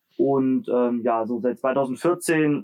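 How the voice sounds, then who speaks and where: A man's voice at a medium pitch. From Germany, Leipzig (Saxony). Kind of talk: interview.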